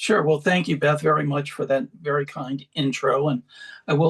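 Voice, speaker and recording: The sound is dry and close with no echo, and the intonation is fairly even. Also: man. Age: 60s. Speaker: patient advocate. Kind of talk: interview.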